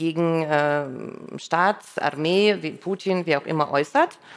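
Very slowly and with ordinary pitch variation, a woman with a Russian accent speaks in a fairly low voice. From Russia, St. Petersburg. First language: Russian (speaking German). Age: 50s. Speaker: radio editor-in-chief. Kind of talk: live stage conversation. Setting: stage with audience.

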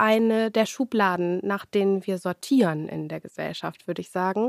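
A woman's unremarkable speaking voice at a moderate pace with ordinary pitch variation, in a dry, close sound with no echo on a very clean recording with a silent background. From Germany, Lower Saxony (Hildesheim). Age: 20s. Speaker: politician. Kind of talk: interview.

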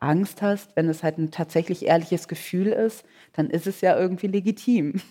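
A woman speaks with a fairly low pitch, ordinary pitch variation and a dark, mellow tone. Her pace is moderate, and the recording is very clean over a silent background. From Germany, Cologne. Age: 30s. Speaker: author. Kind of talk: onstage interview. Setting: stage with audience.

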